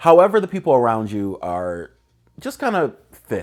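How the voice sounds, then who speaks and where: In a very clean recording with a silent background, a man with an energetic, relaxed tone swings his pitch very widely. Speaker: lifestyle video host. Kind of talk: casual advice talk. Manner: loud; energetic, relaxed conversational.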